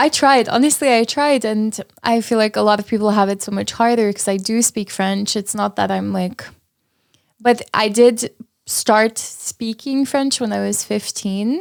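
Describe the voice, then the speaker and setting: Speaking at a moderate pace with an Armenian accent, a woman with a fairly high voice keeps her intonation fairly even in a dry, close sound with no echo. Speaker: paramedical tattoo artist. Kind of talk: casual chat.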